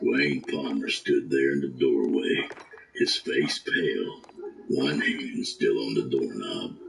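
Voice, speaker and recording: Over clear background noise, a man speaks at a fairly slow pace. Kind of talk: hard-boiled horror narration. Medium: read story. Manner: blunt, profane, dryly wry.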